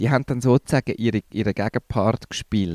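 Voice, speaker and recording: Speaking at a fairly quick pace, a man with a normal speaking voice and medium pitch is heard in a dry, close sound with no echo. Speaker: podcast co-host, improv theatre trainer. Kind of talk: casual chat.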